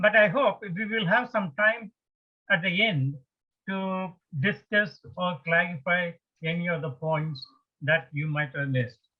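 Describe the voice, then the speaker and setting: A man with a strong Indian accent speaks in a high voice with ordinary pitch variation. His pace is fairly slow, broken by long, frequent pauses. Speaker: retired engineer, spiritual speaker. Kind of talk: lecture. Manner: slow, deliberate.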